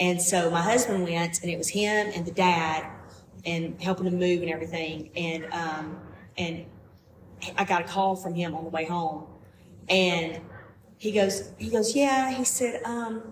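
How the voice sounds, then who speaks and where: The speaker has a strong Southern US accent and ordinary pitch variation, talking at a fairly slow pace. Long, frequent pauses break up the speech, and the room echo is audible. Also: woman, fairly low pitch for a woman. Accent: thick Southern US. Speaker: podcast guest. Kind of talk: casual chat. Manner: animated.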